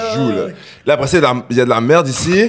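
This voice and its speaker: Noticeable background noise under a man's animated tone. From Quebec, Longueuil (Montreal area). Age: 20s. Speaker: rapper. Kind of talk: casual chat.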